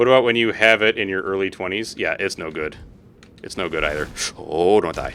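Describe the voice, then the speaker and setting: In a plain, everyday voice, a man talks at a fairly quick pace with a fairly low pitch and ordinary pitch variation. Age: 30s. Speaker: gaming streamer. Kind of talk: live gameplay stream chatting with viewers. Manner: casual, rambling with fillers.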